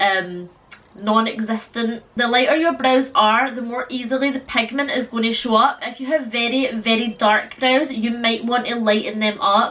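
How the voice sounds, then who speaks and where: Against noticeable background noise, a woman with a fairly high pitch talks at a moderate pace and with fairly even intonation. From Scotland. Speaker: beauty vlogger. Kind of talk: tutorial. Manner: casual, chatty.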